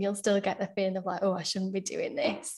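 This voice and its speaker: A woman with a Yorkshire accent against a quiet background. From Sheffield, England. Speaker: solicitor. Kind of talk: casual interview.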